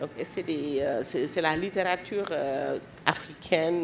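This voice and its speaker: Through noticeable background noise, a woman speaks at a very deep, low pitch with fairly even intonation. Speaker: panelist on feminist literature. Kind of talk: panel discussion.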